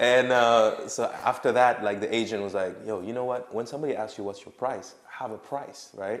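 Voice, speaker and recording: A man with a French accent speaks at a fairly quick pace and medium pitch, his intonation fairly even while his loudness swings a lot. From Senegal, West Africa. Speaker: rapper. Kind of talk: casual interview.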